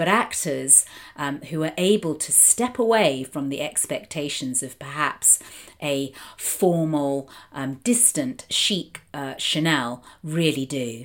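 A woman with a British accent speaks at a very slow pace with a very deep, low pitch and lively intonation, in a very clean recording with a silent background. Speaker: film critic and podcast host. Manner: hesitant, many filler words, articulate.

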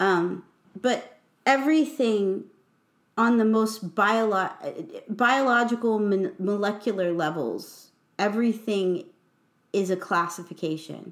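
In a very clean recording with a silent background, a woman with a US Midwestern accent speaks at a very slow pace and a medium pitch, with ordinary pitch variation, very even loudness, and long, frequent pauses. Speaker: podcast host and poet. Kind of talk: casual chat.

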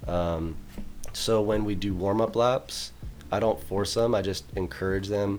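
A man's plain, everyday voice, fairly low in pitch, at a fairly slow pace with ordinary pitch variation. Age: 20s. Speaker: football and track coach. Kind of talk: casual chat.

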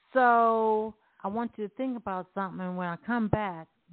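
At a moderate pace, a woman talks in an unremarkable speaking voice at a medium pitch with ordinary pitch variation. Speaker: radio host. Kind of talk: casual banter podcast chat. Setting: online radio show.

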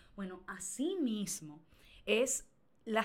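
A woman is speaking. Her tone is animated. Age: 20s. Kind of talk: casual chat.

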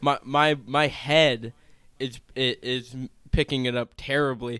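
This man speaks at a medium pitch with ordinary pitch variation and a fairly bright, clear, smooth tone.

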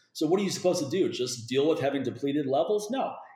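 In a room with audible echo, a man speaks very fast in a dark, mellow, somewhat breathy tone with lively intonation. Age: 40s. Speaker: fitness expert. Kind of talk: casual chat.

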